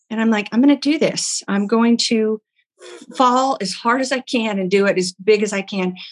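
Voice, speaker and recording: With an American accent, a woman speaks in a normal speaking voice at a fairly high pitch, with ordinary pitch variation and a moderate pace, in a dry, close sound with no echo. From Oklahoma. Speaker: bakery founder and entrepreneur. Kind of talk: interview.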